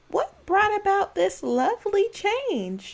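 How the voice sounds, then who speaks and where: A woman puts on a squeaky character voice at an extremely high pitch. She speaks fairly slowly. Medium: read story.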